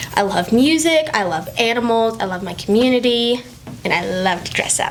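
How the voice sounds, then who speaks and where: A woman with an American accent, at a moderate pace with lively intonation, amid noticeable background noise and audible room echo. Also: fairly high pitch for a woman. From Maine, later Florida and Utah. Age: 20s. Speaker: singer. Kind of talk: casual interview.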